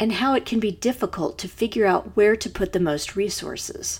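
A woman is speaking. She has a plain, everyday voice. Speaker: true crime podcast host. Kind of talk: true-crime narration, scripted and read with a serious, measured tone. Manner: measured, sombre, formal; clear, steady, informative.

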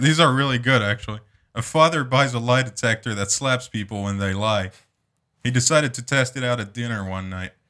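Over a silent background in a very clean recording, a man talks fairly quickly at a medium pitch with a bright, sharp tone and ordinary pitch variation. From France. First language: French. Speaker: podcast host. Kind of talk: casual comedic chat. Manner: joking, profane, laughs often.

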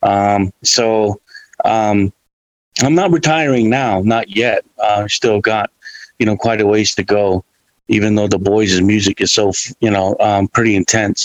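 Dry and close with no echo, a man speaks in a plain, everyday voice at a fairly low pitch, keeping a fairly slow pace and very even loudness. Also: ordinary pitch variation. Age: 50s. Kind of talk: casual chat.

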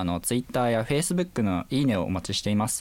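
On a very clean recording with a silent background, a man speaks at medium pitch. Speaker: university student scriptwriter. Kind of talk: casual chat.

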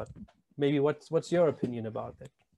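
Speaking at a very fast pace, a man with a German accent uses a fairly high pitch and fairly even intonation. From Germany. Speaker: podcast host. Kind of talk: casual chat.

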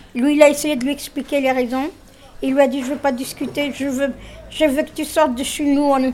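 A high-pitched woman with an Arabic accent at a moderate pace, over noticeable background noise. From Tunisia. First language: Arabic (speaking French). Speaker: discussion group participant. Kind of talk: group discussion.

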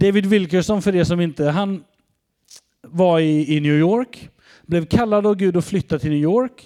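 Speaking at a fairly slow pace, a man with a high voice uses ordinary pitch variation. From Sweden, Västergötland (Mariestad area). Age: 40s. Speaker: pastor. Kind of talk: sermon.

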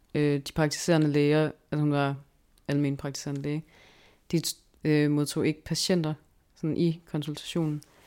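A woman speaks with a very deep, low pitch and monotone, flat intonation. The recording is very clean with a silent background. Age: 20s. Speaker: research assistant, anthropologist. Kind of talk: interview. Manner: hesitant, many fillers.

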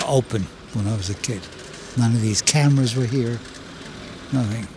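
A man talks at a medium pitch and a moderate pace, with long, frequent pauses. Noticeable background noise is present. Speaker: host's father, former soldier. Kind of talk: casual chat. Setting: outdoors walking on a street.

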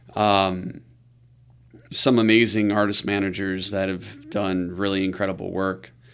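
With audible room echo, a man speaks fairly slowly in a fairly low pitch with fairly even intonation. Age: 30s. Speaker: music label entrepreneur. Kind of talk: interview conversation.

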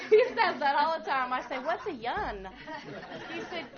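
Amid crowd noise and audible room echo, a woman speaks fairly slowly in a high voice with very wide pitch swings. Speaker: pastor's wife leading a marriage class. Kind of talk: church class teaching.

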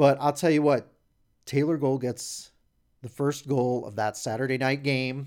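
At a fairly slow pace and with fairly even intonation, the speaker has a plain, everyday voice. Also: man, medium pitch for a man. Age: 40s. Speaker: hockey fan site founder and podcast co-host. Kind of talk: casual chat. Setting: studio.

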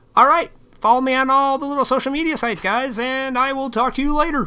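A put-on character voice, high-pitched, at a very fast pace.

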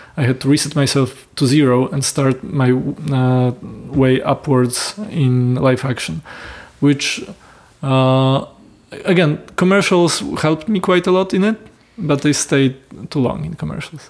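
A man with a Polish accent at a fairly high pitch, a fairly slow pace and ordinary pitch variation. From Poland. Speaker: film director and producer. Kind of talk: interview. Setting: host's home. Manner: halting.

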